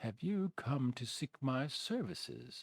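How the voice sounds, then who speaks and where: Using a put-on character voice, a man talks at a fairly slow pace in a medium pitch with very wide pitch swings and a dry, close sound with no echo. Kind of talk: refined. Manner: calm.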